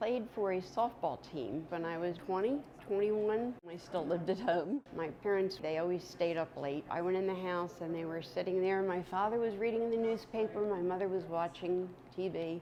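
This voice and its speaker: A woman speaks at a moderate pace with ordinary pitch variation. It is an ordinary speaking voice. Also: medium pitch for a woman. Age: 60s. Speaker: retiree, interviewee. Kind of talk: personal testimony interview.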